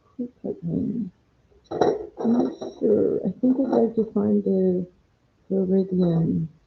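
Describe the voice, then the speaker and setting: Soft-spoken and relaxed in tone, the voice moves at a very slow pace with long, frequent pauses. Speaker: watercolor painting instructor. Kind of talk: live paint-along tutorial. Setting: live stream at home. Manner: relaxed, thinking aloud.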